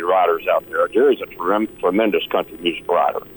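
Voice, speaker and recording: A man with a Texan accent speaks over noticeable background noise. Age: 60s. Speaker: country singer. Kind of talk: interview. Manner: halting.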